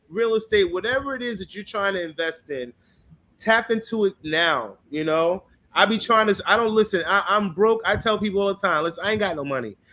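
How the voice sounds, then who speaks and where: A man speaks at a fairly quick pace in a raised, projected voice that is high-pitched with ordinary pitch variation and a bright, sharp tone. The recording is very clean, with a silent background. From US Northeast. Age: 40s. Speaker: travel vlogger. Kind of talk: casual chat. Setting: livestream. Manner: animated.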